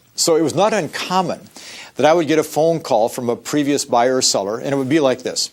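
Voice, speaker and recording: This voice has an animated tone with ordinary pitch variation. It moves at a fairly quick pace. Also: man. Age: 60s. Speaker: real estate sales trainer. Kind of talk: training lecture. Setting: recorded training program.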